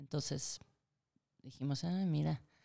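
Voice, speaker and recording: A woman's voice with a dark, mellow tone. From Argentina. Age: 30s. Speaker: psychologist and film producer. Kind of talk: interview.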